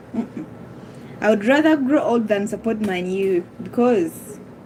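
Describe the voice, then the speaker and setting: Noticeable background noise runs under the recording. A woman speaks with lively intonation. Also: long, frequent pauses. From Uganda. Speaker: live streamer. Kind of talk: casual live-stream chat, football banter. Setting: live stream reading chat. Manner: animated, teasing.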